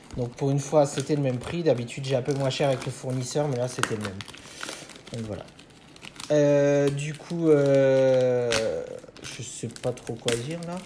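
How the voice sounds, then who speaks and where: A man's fairly high voice, fairly slow and fairly even, with long, frequent pauses and noticeable background noise. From France, Moselle (Lorraine). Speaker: Pokémon card collector YouTuber. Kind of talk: unboxing video. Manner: hesitant, many fillers.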